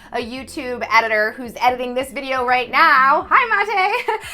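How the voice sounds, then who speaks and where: A woman speaks in a high pitch. Noticeable background noise runs underneath. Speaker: copywriter and YouTube host. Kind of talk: casual interview chat. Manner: fast; animated.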